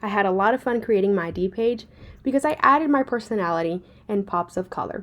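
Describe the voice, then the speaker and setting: A woman with a Spanish accent and ordinary pitch variation is heard on a very clean recording with a silent background. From Puerto Rico. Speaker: graduate student. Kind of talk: class presentation. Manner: formal.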